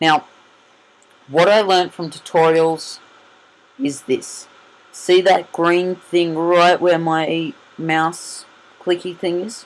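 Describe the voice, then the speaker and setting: Speaking in an Australian accent at a very slow pace, the voice leaves long, frequent pauses. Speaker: gaming youtuber. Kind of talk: gameplay commentary. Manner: loud; halting.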